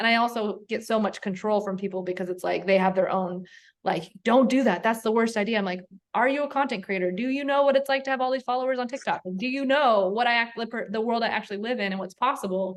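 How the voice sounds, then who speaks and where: A woman's fairly high, animated voice at a very fast pace, with ordinary pitch variation over a quiet background. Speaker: content creator. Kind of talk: coaching call. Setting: call.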